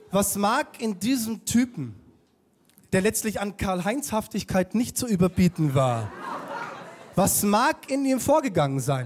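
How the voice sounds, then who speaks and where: Against crowd noise in the background, a man speaks at a very slow pace. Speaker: stand-up comedian. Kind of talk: stand-up comedy monologue. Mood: sarcastic, mocking humor. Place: stage. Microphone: handheld.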